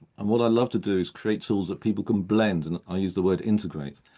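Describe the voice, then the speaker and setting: A man talks fairly quickly in an ordinary speaking voice, fairly low in pitch with ordinary pitch variation. The background is quiet. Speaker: coach and speaker presenting a model. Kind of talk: online panel discussion.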